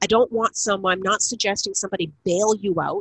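A woman speaks in a normal speaking voice with a Canadian accent. Her pitch is medium and her pace moderate. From Canada, Niagara region of Ontario. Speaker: communication expert and author. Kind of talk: interview.

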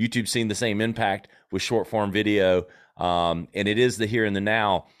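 A man with an American accent, a normal speaking voice at a moderate pace with ordinary pitch variation, on a very clean recording with a silent background. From South Carolina. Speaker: marketing agency CEO and podcast host. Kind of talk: interview.

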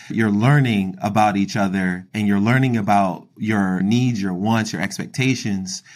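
An ordinary speaking voice from a man, fairly low in pitch with ordinary pitch variation, at a moderate pace with an American accent, on a very clean recording with a silent background. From Philadelphia, US. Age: 30s. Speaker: wealth advisor. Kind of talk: casual interview chat.

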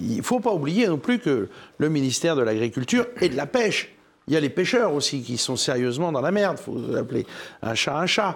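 This man's voice sits fairly high and swings very widely in pitch at a moderate pace. The recording is very clean, with a silent background. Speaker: cereal farmer. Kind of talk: televised panel debate. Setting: studio with live audience.

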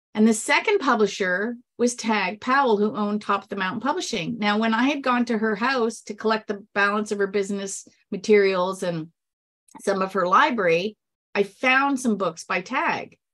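A woman talks at a moderate pace with a normal speaking voice and a fairly high pitch. Her pitch varies in an ordinary way. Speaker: sweepstakes expert and author. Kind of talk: casual interview chat.

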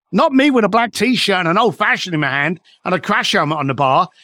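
Bright and sharp in tone, a man's voice moves through very wide pitch swings. It sounds dry and close, with no echo. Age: 50s. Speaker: entrepreneur and coach, author and speaker. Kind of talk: casual interview conversation. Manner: animated.

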